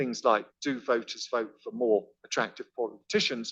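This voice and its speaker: Over a quiet background, a man speaks at a moderate pace with lively intonation and a bright, sharp tone. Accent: British. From Britain. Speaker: professor. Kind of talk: lecture. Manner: conversational, some false starts.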